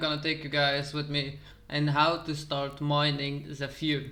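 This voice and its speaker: The speaker has a Dutch accent. Audible room echo surrounds the voice. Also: man. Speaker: crypto YouTuber. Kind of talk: tutorial.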